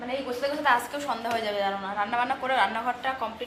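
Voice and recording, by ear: A woman with a fairly high pitch speaks at a very fast pace. Her tone is fairly bright, and her intonation stays fairly even.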